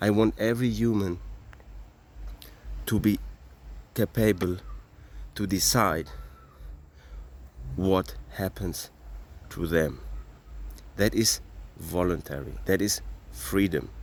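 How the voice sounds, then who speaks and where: A man's very deep, low voice with vocal fry and a non-native accent, lively intonation, a very slow pace, and long, frequent pauses. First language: not English. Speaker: cryptocurrency advocate. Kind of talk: impassioned monologue. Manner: animated.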